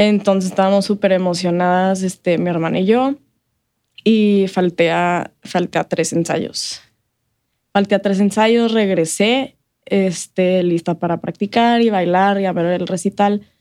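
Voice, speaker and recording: A woman speaks at a fairly slow pace in a dark, mellow tone, her medium pitch carried by fairly even intonation. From El Paso, Texas (US–Mexico border). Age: 20s. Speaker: health coach and marketing professional. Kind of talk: interview. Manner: casual, hesitant with repetitions and fillers.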